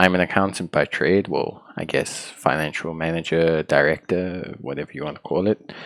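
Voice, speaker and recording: A South African accent at a moderate pace, with fairly even intonation and a dry, close sound with no echo. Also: man. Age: 30s. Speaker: YouTuber, gaming channel host. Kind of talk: casual personal vlog talk.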